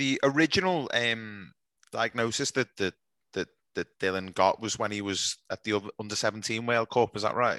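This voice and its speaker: The man's voice has a bright, sharp tone and ordinary pitch variation, moving at a moderate pace in a dry, close sound with no echo. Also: medium pitch for a man, quiet background. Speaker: podcast host. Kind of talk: interview.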